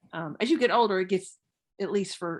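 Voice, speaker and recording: A woman speaks at a moderate pace with vocal fry. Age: 60s. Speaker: theologian and lecturer. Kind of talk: lecture conversation with Q&A.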